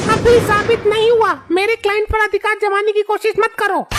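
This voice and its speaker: Using a cartoonish character voice at an extremely high pitch, a woman speaks at a moderate pace with fairly even intonation and very even loudness over clear background noise. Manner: sharp, scornful.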